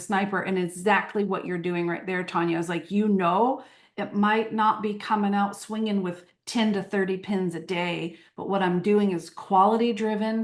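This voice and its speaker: A woman's medium-pitched voice with fairly even intonation at a moderate pace, over a quiet background. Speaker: marketing coach. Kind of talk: live interview chat. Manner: loud.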